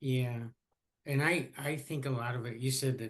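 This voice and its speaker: Medium in pitch, a man with an ordinary speaking voice speaks at a moderate pace. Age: 60s. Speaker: podcast host, retired professor. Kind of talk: casual interview chat.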